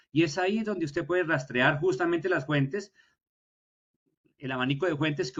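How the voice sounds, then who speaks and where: A man with a normal speaking voice speaks at a fairly high pitch and a fairly quick pace, with ordinary pitch variation. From Colombia. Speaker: historian, university lecturer. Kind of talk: lecture.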